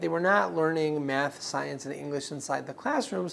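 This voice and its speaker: Talking at a fairly quick pace with a slight Israeli accent, a man lets his pitch swing very widely. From Israel, Ashkelon in the south. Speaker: director of a community foundation. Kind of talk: interview.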